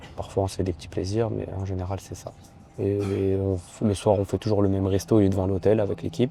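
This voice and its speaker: A man speaks at a fairly quick pace in a fairly low pitch, his dark, mellow tone somewhat breathy, his intonation fairly even, and his loudness swinging widely. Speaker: judoka and vlogger. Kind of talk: casual vlog.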